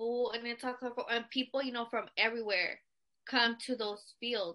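In an American accent, a woman with a high pitch and a bright, sharp tone speaks at a moderate pace with fairly even intonation. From California. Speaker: podcast co-host. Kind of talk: casual chat.

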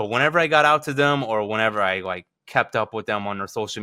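Speaking very fast with hardly any pauses, a man with an American accent uses a fairly low pitch, ordinary pitch variation and a bright, sharp tone on a very clean recording with a silent background. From Virginia and South Texas. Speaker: college sports reporter. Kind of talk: casual interview. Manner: casual, lots of fillers.

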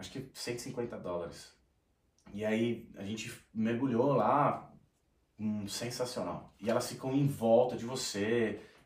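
Over audible room echo, the speech moves at a very slow pace with fairly even intonation and big swings in loudness. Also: man, medium pitch for a man. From Brazil, São Paulo city. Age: 30s. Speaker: sertanejo singer. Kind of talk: casual chat.

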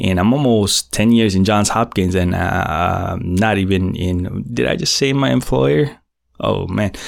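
On a very clean recording with a silent background, a man with a Filipino accent speaks fairly slowly at a fairly low pitch with ordinary variation. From Philippines. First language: Tagalog. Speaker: podcast host, IT technician. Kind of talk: casual monologue. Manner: animated.

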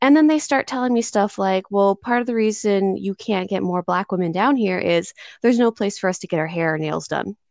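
Speaking with a plain, everyday voice, a woman of medium pitch uses lively intonation and a fairly quick pace, with hardly any pauses, over a quiet background. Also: dry, close sound with no echo. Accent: American. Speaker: podcast host, social worker. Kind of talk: interview conversation.

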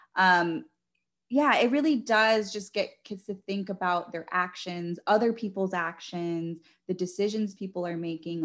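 A woman with an unremarkable speaking voice holds a medium pitch, moderate pace and ordinary pitch variation. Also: quiet background. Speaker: talk show host. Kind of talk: interview.

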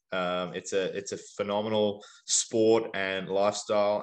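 Over a quiet background, a man with an Australian accent talks at a fairly low pitch with fairly even intonation. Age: 30s. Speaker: CrossFit athlete and fitness coach. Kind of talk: casual interview chat.

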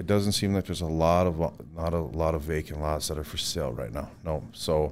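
With a North Dakota accent, a man speaks at a very deep, low pitch. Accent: Upper Midwest (North Dakota). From North Dakota, Williston. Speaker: home builder. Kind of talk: interview.

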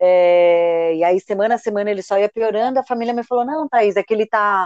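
A woman with a plain, everyday voice talks at a fairly quick pace in a medium pitch with ordinary pitch variation, the sound dry and close with no echo. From Brazil, São Paulo. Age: 30s. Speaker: author and marketing professional living with HIV. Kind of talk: podcast interview, personal testimony.

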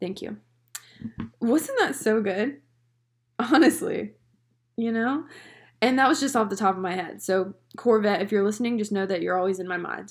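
Her slight Southern US accent comes through as a woman speaks with a fairly high pitch and lively intonation. She keeps a moderate pace with long, frequent pauses. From North Carolina, US South. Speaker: podcast host and photographer. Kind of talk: solo casual monologue. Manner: casual, chatty.

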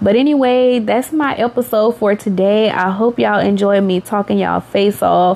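A woman talks with hardly any pauses and very even loudness. Noticeable background noise can be heard. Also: medium pitch for a woman, ordinary pitch variation, moderate pace. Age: 30s. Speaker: podcast host, mother. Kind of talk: casual monologue. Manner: animated.

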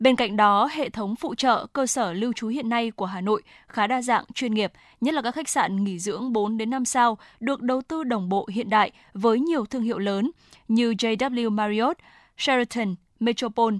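A woman's plain, everyday voice, fairly high in pitch with ordinary pitch variation at a moderate pace, dry and close with no echo on a very clean recording with a silent background. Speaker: radio presenter. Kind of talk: news reading. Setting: studio.

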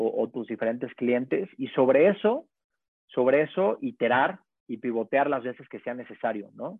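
A man speaks with a central Mexican accent. His intonation is lively. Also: medium pitch for a man, moderate pace. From Mexico, Puebla. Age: 20s. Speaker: startup founder and CEO. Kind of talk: casual interview. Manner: halting, many repeated words.

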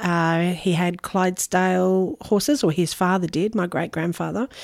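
In an Australian accent, the speaker talks fairly slowly with ordinary pitch variation, the sound dry and close with no echo and the background silent in a very clean recording. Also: woman. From Noosa, Queensland, Australia. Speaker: caterer and food business owner. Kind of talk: interview. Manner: hesitant, many fillers.

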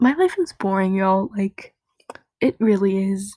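A woman's medium-pitched, somewhat breathy voice, with a dry, close sound and no echo. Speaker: podcast host. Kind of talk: casual chat. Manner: casual, filler-heavy.

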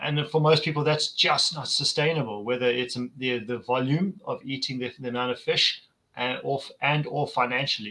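A man speaks at a moderate pace in a fairly high voice with ordinary pitch variation. His tone is bright and sharp. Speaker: podcast host. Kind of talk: casual chat.

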